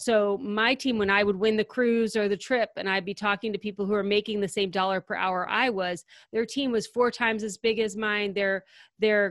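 A woman's ordinary speaking voice at a medium pitch with ordinary variation and a fairly quick pace, dry and close with no echo, in a very clean recording with a silent background. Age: 40s. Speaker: organizing company founder and podcaster. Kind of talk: interview.

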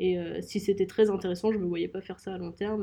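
A woman speaks at a very fast pace with vocal fry. Her medium-pitched voice stays in a monotone, flat intonation. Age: 20s. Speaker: young entrepreneur, co-founder. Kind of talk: interview.

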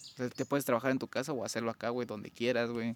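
A man speaks with a Mexican accent at a medium pitch. The sound is dry and close, with no echo. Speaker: podcast co-host. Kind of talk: casual chat.

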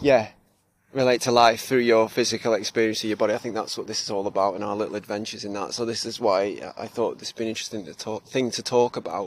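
A man talks at a very fast pace in a Cheshire accent. His intonation stays monotone and flat while his loudness swings widely. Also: medium pitch for a man. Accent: northern English (Cheshire). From northern England (Cheshire). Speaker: podcast co-host. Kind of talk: casual chat. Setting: outdoors, on a walk.

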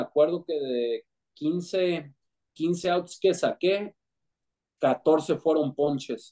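A man with a high pitch speaks at a very slow pace, his pitch varying in an ordinary way. The tone is dark and mellow, and the sound is dry and close with no echo. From Mexico City, Mexico. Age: 30s. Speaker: former professional baseball pitcher. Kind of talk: casual interview.

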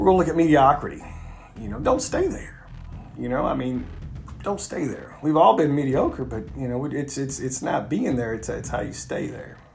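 A man's words come at a moderate pace, with audible echo from the room and noticeable noise behind him. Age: 40s. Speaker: podcast host and self-help author. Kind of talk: solo motivational monologue. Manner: halting, many fillers and repetitions.

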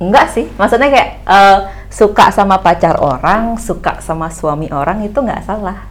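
This woman keeps a moderate pace. Pauses barely show up in her speech. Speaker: YouTuber. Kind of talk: casual chat.

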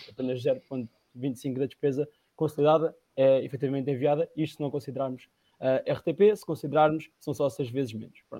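A man's unremarkable speaking voice, fairly high in pitch, with big swings in loudness, a moderate pace, fairly even intonation, and a dry, close sound with no echo. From Portugal, Leiria district. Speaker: party representative. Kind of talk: political debate.

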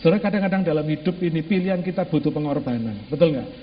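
A man's voice against noticeable background noise. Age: 50s. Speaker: pastor. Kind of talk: sermon. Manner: animated.

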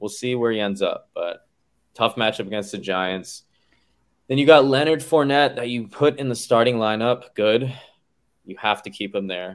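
A normal speaking voice, male, medium in pitch, with ordinary pitch variation at a moderate pace. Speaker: fantasy football league commissioner. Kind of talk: casual chat.

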